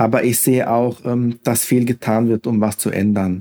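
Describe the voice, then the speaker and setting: The tone is dark and mellow, with monotone, flat intonation. The pace is fairly slow. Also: man. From Hesse, Germany. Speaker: civil servant handling complaints about youth welfare offices. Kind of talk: interview.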